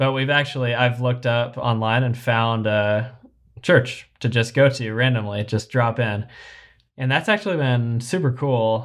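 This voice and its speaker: A man with an American accent and an unremarkable speaking voice, medium pitch, ordinary pitch variation and moderate pace, in a very clean recording over a silent background. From Kentucky, US. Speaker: podcast co-host, parent. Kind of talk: casual chat.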